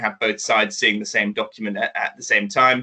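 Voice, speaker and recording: Someone speaks in a London accent. The pace is fairly quick. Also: man. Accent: British (London), noticeable. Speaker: startup executive, former lawyer. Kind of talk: business presentation. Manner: halting, many fillers and restarts.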